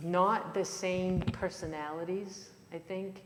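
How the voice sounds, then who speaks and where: A woman's voice carries audible room echo. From Maine, Franco-American community in Waterville. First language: French. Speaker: author and lecturer. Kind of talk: Q&A after a lecture. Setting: lecture in a church hall with audience. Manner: halting, many fillers and restarts.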